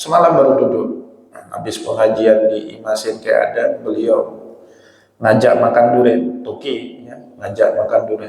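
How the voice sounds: A man puts on a hoarse character voice at a moderate pace. An echo is audible.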